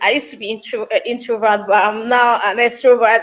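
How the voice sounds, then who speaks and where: There is noticeable background noise behind a woman talking at a moderate pace. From Nigeria, Southern Kaduna. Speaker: actress and humanitarian. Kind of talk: interview.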